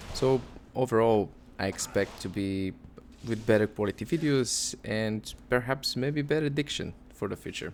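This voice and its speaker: The speaker has a non-native accent. Pitch varies in an ordinary way. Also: man, medium pitch for a man, moderate pace. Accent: non-native English accent, noticeable. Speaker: gaming YouTuber. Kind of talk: casual gaming commentary. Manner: hesitant, many fillers.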